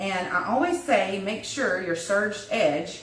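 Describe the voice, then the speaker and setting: With a Southern US accent and lively intonation, a woman speaks amid audible room echo and noticeable background noise. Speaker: wreath crafter, DIY tutor. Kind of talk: livestream craft tutorial. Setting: Facebook live stream. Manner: casual, chatty.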